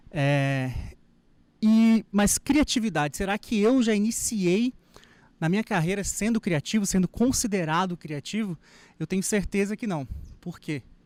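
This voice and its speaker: A man speaks at a high pitch and a fairly slow pace, with lively intonation and long, frequent pauses. The recording is very clean, with a silent background. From Brazil, raised in Minas Gerais. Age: 30s. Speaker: wedding photographer. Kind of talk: lecture. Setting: stage with audience.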